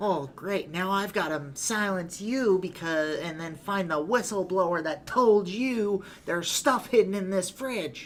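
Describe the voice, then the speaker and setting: A man puts on a character voice, pitched high, moving at a moderate pace with clear background noise behind him. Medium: actual play. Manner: gruff, gangster-ish.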